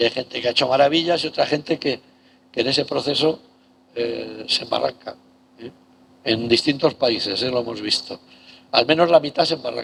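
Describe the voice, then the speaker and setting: Long, frequent pauses in a man's fairly quick, medium-pitched speech with ordinary pitch variation. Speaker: professor. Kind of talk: lecture.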